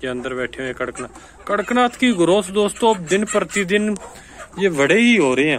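A man speaks in a high voice with a fairly bright tone. His intonation is lively and his pace is moderate.

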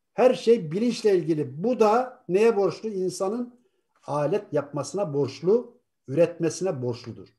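With a dark, mellow tone and lively intonation, a man speaks at a high pitch and a fairly slow pace against a quiet background. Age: 60s. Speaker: co-host of atheist talk show; talk show guest. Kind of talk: live talk show discussion. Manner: animated. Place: home room. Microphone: video call.

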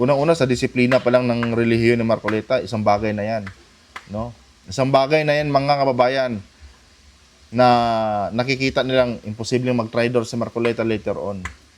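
A man's medium-pitched voice moves at a fairly quick pace. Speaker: political commentary YouTuber. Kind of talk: casual political commentary. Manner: animated.

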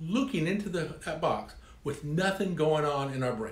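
A man talks with vocal fry. Audible echo from the room surrounds his voice. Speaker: speaker. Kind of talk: storytelling talk to camera. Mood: humorous, playful. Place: home room.

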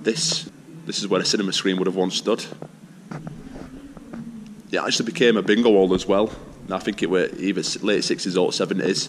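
The speech moves at a fairly quick pace with ordinary pitch variation, over light background noise. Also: man. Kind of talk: casual vlog chat. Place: hall. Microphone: phone near.

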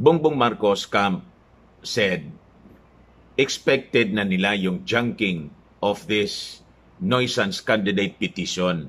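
A man with a fairly low pitch speaks at a very slow pace with long, frequent pauses. His intonation is lively. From Philippines. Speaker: political vlogger. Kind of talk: news commentary. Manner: casual, halting with fillers. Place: home room. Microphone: phone near.

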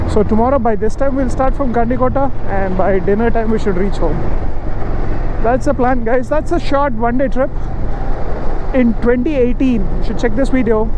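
At a moderate pace with long, frequent pauses, the speech has a dry sound with no echo and noticeable background noise. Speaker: motovlogger. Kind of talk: casual vlog chat. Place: motorbike. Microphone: helmet.

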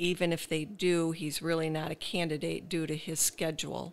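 A woman with a very deep, low pitch and vocal fry talks at a moderate pace. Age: 60s. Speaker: caregiver and former special education teacher. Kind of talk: testimony.

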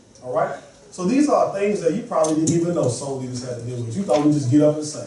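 Speaking fast with a dark, mellow tone, a man uses a fairly high pitch with ordinary variation, and the room echo is audible.

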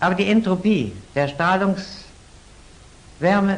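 A man's high-pitched voice. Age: 80s+. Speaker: physicist. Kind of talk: interview answer. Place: studio. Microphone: old recording.

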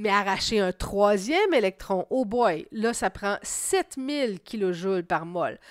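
A woman speaks at a very slow pace and a medium pitch, with lively intonation. The recording is very clean with a silent background, dry and close with no echo. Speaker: science teacher. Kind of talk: lecture.

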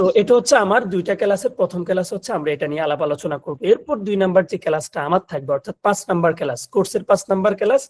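A man speaks in a high voice, dry and close with no echo. His intonation is lively and bouncy. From Bangladesh, Noakhali. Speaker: video editing instructor. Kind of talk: online class orientation. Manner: halting, many fillers.

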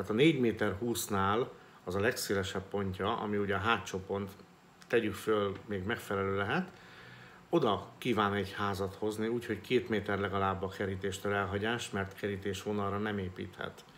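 A man speaks at a moderate pace in a fairly low voice. His intonation is monotone and flat, with light background noise behind him. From Hungary. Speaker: real estate agent and business vlogger. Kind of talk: solo vlog monologue. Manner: halting, with many filler sounds. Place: home room. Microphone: phone near.

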